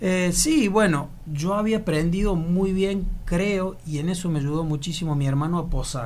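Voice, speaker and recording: In a room with audible echo and noticeable background noise, a man with a high pitch speaks at a fairly slow pace, with ordinary pitch variation and hardly any pauses. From Argentina, Córdoba province (Laguna Larga). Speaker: actor and model. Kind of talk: casual interview.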